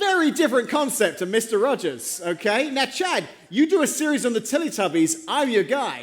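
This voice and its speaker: A man with an English accent speaks at extremely high pitch with very wide pitch swings, at a moderate pace with hardly any pauses, over noticeable background noise. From England. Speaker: pastor. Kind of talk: sermon. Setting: church.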